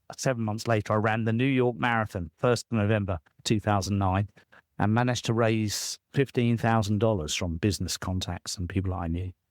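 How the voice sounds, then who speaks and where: In a very clean, dry, close recording with no echo and a silent background, a man with a British accent talks at a fairly quick pace, his pitch fairly low and his intonation fairly even. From southern England. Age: 60s. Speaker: author and coach. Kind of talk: interview.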